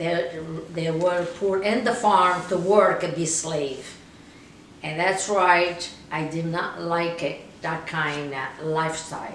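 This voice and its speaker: A woman at a very slow pace and fairly low pitch, fairly even in intonation, with noticeable background noise and audible room echo. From Italy, Molise (Isernia province). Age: 70s. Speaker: interviewee, immigrant. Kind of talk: oral history interview. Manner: halting, non-native phrasing.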